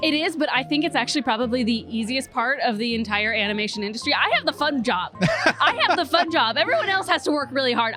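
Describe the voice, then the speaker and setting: Words come at a very fast pace, with hardly any pauses and very even loudness. The voice is raised and projected, the intonation is lively, and there is noticeable background noise. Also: woman, high pitch for a woman. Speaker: voice actor. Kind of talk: interview answer.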